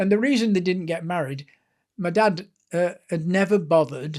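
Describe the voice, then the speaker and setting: This man has a Lancashire accent and a high pitch. He keeps a moderate pace, and his pitch varies in an ordinary way. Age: 70s. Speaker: author and sports historian. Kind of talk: interview storytelling.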